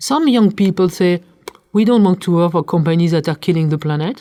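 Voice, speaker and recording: Her French accent and dark, mellow tone come through as the woman speaks at a medium pitch with lively intonation. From France. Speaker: corporate sustainability leader. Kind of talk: interview conversation. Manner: hesitant, repeats words.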